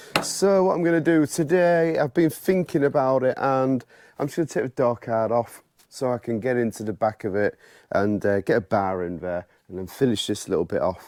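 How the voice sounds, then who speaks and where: A man of medium pitch at a moderate pace, with very wide pitch swings and a dry, close sound with no echo, on a very clean recording with a silent background. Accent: British. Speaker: paintless dent repair technician. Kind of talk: tutorial. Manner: casual, chatty.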